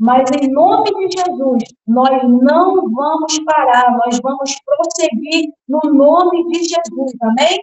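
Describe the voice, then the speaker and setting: This woman talks at a very slow pace with hardly any pauses, in a Brazilian accent. Her pitch is high, with ordinary variation. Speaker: preacher. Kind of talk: sermon.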